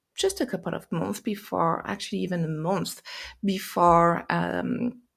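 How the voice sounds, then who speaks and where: A woman speaks with a French accent. She keeps a fairly slow pace. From France. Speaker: life purpose and mindset coach. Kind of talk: podcast monologue. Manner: halting, many fillers and restarts.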